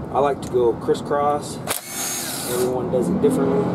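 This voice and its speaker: Loud background noise fills the recording. Through it, a man can be heard talking. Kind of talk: tutorial. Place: street.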